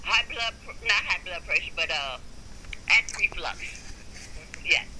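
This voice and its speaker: A woman speaks at a fairly slow pace, her loudness swinging widely, over noticeable background noise. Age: 60s. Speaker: video blogger. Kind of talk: recorded conversation with paramedic. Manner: halting.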